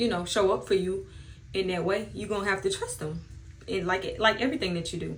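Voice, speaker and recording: Audible room echo and noticeable background noise surround a woman as she talks. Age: 30s. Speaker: beauty vlogger. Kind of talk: casual chat.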